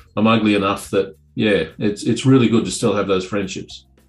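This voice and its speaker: A man speaks at a fairly quick pace with faint music in the background. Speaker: remote interview guest. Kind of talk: interview answer. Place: office. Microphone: webcam.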